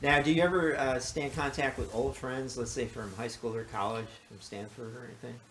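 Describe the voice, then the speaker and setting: In a room with audible room echo, a man at a medium pitch talks at a fairly quick pace with hardly any pauses, ordinary pitch variation and big swings in loudness. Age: 70s. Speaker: podcast host. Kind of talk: casual chat. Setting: interview at guest's home.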